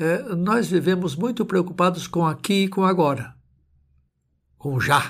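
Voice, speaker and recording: In a very clean recording with a silent background, a man speaks at a high pitch and fairly slow pace, with long, frequent pauses, very even loudness and ordinary pitch variation. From Brazil. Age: 70s. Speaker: pastor and theology professor. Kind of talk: sermon.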